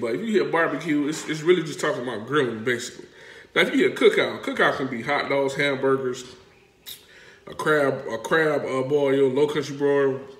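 Audible room echo surrounds a man whose fairly high voice moves at a fairly quick pace. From South Carolina Lowcountry. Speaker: vlogger explaining local dialect. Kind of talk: casual talk to camera. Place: home room. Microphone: phone near.

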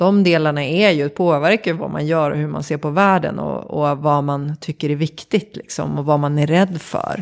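A woman with a very deep, low pitch speaks at a moderate pace with fairly even intonation in a very clean recording with a silent background. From Sweden, Vattholma (Uppsala area). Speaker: creative director and organisational consultant. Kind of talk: interview conversation. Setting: home kitchen studio.

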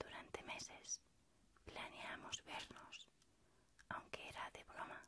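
A woman is whispering. She is soft-spoken. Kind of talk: personal letter-like monologue. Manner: soft, intimate whispered ASMR voice. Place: home room. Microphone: phone near.

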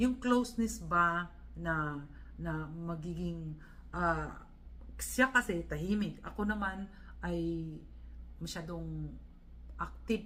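There is noticeable background noise. Through it, a woman can be heard talking. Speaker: vlogger. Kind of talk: vlog monologue. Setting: hotel room. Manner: halting.

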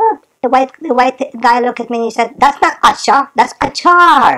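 A woman speaks in a playful tone. Her pitch varies in an ordinary way. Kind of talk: comedic storytelling monologue. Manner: playful, chatty.

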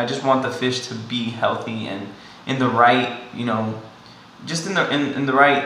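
There is faint background noise and noticeable echo from the room as a man talks. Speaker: fish hobbyist vlogger. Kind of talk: casual vlog chat. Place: home room. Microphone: phone near.

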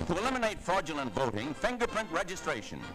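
Someone talks at a very fast pace over clear music in the background. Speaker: newsreel narrator. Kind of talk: newsreel narration. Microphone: old recording.

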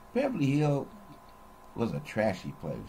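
There is light background noise as a man speaks with an American accent. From Los Angeles, California. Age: 70s. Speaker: retiree recording personal memoir videos; storyteller. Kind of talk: personal recorded monologue / memoir. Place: home room. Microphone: webcam.

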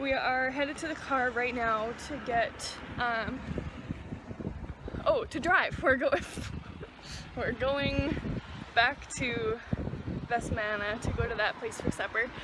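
A woman speaks at a fairly slow pace with long, frequent pauses, in a dry sound with no echo, over noticeable background noise. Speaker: travel vlogger. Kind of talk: casual vlog chat. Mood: cheerful, relaxed. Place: waterside. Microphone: phone near.

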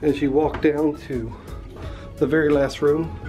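The speech moves at a very slow pace. Faint music plays in the background. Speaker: cruise vlogger. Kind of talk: walking tour commentary. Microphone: phone near.

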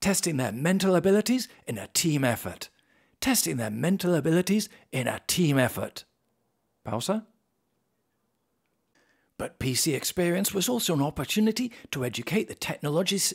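Speaking in a British accent, a man uses a high pitch with very wide pitch swings at a moderate pace. He leaves long, frequent pauses, and the background is quiet. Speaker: voice actor. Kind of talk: corporate case-study narration. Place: studio.

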